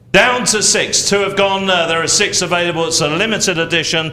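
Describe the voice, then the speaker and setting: A man with a high pitch, ordinary pitch variation and a fairly quick pace, with audible room echo and noticeable background noise. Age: 60s. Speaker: auctioneer. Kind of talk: live auction presenting.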